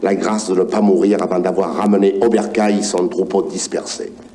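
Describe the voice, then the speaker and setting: Over noticeable background noise, a man talks at a fairly slow pace with a fairly low pitch. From Provence. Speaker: actor. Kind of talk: story reading on record. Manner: warm.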